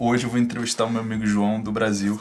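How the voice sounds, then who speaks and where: The speaker is a man with a fairly low pitch. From Brazil. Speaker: YouTuber interviewer. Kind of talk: video introduction; interview.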